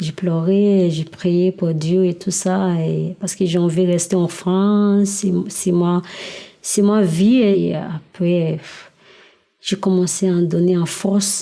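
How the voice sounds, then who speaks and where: A woman speaks at a very slow pace in a monotone, flat delivery. Her pitch is fairly low, with a dark, mellow tone. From Nigeria. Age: 20s. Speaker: exiled migrant telling her story. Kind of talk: personal testimony interview. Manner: halting, many hesitations.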